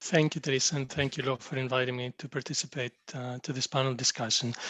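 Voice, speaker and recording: A man with a Greek accent speaks at a very fast pace in a medium pitch. His intonation is flat and monotone, and the sound is dry and close with no echo. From Greece. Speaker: pharmaceutical digital executive. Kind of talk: panel discussion self-introduction.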